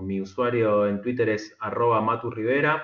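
Audible room echo surrounds a man talking at a fairly slow pace and a medium pitch. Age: middle-aged. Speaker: software engineer turned market trader. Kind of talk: interview conversation. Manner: halting, repeats words.

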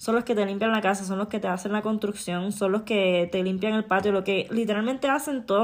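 In an unremarkable speaking voice, a woman of medium pitch talks at a fairly quick pace. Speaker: podcaster. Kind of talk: angry rant, vented personal monologue. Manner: furious, cursing, hammering rhetorical questions; emotional, heartbroken, indignant.

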